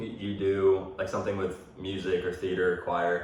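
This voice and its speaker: Noticeable background noise and audible room echo surround a man's voice. He speaks at a fairly slow pace with ordinary pitch variation. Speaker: podcast host and college athlete. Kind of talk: casual chat.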